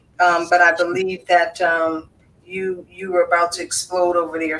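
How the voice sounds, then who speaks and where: A woman speaks in a fairly low voice. There is noticeable background noise. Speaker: podcast host. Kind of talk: casual chat.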